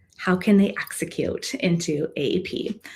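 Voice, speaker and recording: Her pitch is medium for a woman and varies in an ordinary way. The voice carries a somewhat breathy quality. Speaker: consultant. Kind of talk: presentation. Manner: fast.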